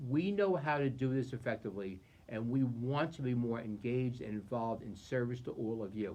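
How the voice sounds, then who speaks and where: Over noticeable background noise, a man talks at a fairly quick pace, with a medium pitch and ordinary pitch variation. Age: 60s. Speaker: county executive. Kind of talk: public briefing.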